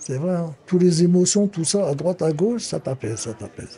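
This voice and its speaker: Speaking high for a man, he shows ordinary pitch variation. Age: 60s. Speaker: amateur actor, senior supported by a charity. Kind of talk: interview testimony. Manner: animated.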